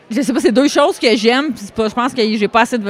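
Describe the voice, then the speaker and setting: This woman has an ordinary speaking voice with ordinary pitch variation. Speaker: karate school owner and competitor. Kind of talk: casual interview chat. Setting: at world championships in Ireland.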